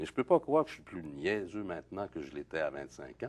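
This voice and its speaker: In a Quebec accent, a man talks in a very deep, low pitch with very wide pitch swings. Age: 60s. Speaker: playwright and poet. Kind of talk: interview. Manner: halting, many hesitations.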